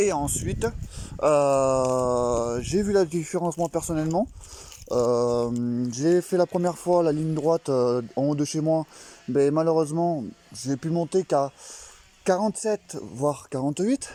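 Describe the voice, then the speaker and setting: A man speaks at a very slow pace with long, frequent pauses. His voice is fairly high-pitched with ordinary pitch variation, in a dry, close sound with no echo. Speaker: moped enthusiast vlogger. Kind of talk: tutorial. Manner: halting, many fillers.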